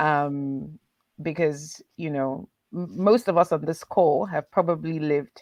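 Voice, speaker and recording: A woman speaks at a fairly slow pace in a very deep, low voice with ordinary pitch variation. The sound is dry and close, with no echo. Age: 40s. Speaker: leadership panelist. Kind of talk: panel discussion. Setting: video call.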